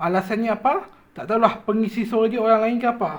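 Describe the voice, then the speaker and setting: The speech is loud and fairly quick. Noticeable background noise runs underneath. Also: man. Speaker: YouTuber reviewing cartoon channels. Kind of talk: casual commentary video. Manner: loud, raised voice.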